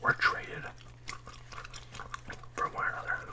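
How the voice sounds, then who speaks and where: This is whispering, soft-spoken throughout. The pace is fairly slow. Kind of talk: casual vlog chat. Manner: soft ASMR whisper over card rustling. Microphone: phone near.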